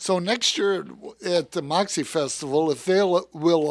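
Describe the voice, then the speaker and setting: In an American accent, a man with an unremarkable speaking voice talks at a fairly slow pace. His pitch is fairly high with fairly even intonation, in a very clean recording over a silent background. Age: 60s. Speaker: car salesman. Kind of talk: casual interview chat. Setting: studio.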